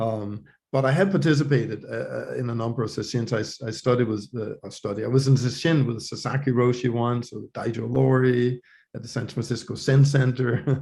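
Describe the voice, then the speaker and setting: The tone is dark and mellow and somewhat breathy, delivered at a fairly quick pace with ordinary pitch variation. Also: man, medium pitch for a man. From Denmark. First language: Danish. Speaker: professor of religious studies. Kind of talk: interview conversation. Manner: hesitant, many fillers and repetitions.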